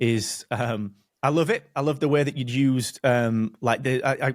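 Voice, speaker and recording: This man speaks with a Barnsley accent at a medium pitch. His intonation stays fairly even. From northern England, Barnsley. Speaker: podcast host. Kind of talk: casual interview.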